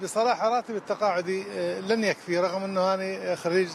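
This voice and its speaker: Delivered at a moderate pace in a Baghdad accent, the speech has fairly even intonation. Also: man. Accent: Baghdadi Iraqi Arabic. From Iraq, Baghdad. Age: 60s. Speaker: street cleaner. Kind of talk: street interview. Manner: halting.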